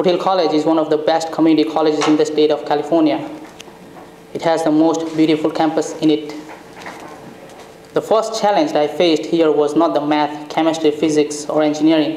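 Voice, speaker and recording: Against noticeable background noise, a man speaks at a fairly quick pace with fairly high pitch, very even loudness and monotone, flat intonation. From India. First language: Indian native language. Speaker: graduating student. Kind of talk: graduation speech. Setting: event with audience.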